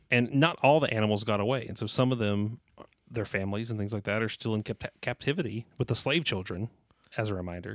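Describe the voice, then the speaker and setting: Speaking very fast with an American accent, a man keeps a medium pitch and ordinary pitch variation, captured as a dry, close sound with no echo on a very clean recording with a silent background. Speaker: podcast co-host. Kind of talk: casual chat.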